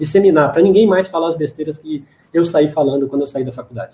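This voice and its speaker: A man's fairly high voice, dark and mellow in tone, at a fairly quick pace with ordinary pitch variation. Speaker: dentist and lecturer. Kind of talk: Q&A after a lecture. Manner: fast.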